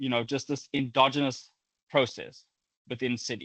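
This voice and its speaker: A man with a South African accent talks at a fairly quick pace, his voice dry and close with no echo against a quiet background. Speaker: academic researcher. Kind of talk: lecture. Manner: halting, with frequent repetitions.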